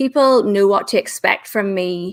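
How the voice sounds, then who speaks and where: A woman speaks with a Northern Irish accent at a moderate pace. Her medium pitch shows ordinary variation. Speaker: LinkedIn business trainer. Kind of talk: interview on live show. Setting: live video stream.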